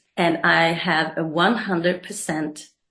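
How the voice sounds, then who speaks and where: A woman with a plain, everyday voice, fairly low pitch and fairly even intonation. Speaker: coach and therapist. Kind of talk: interview.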